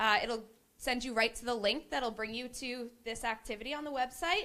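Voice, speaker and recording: A woman talks loudly with lively intonation. Her voice is high, with a bright, sharp tone. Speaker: committee member, workshop facilitator. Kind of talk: interactive presentation. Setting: meeting room with audience.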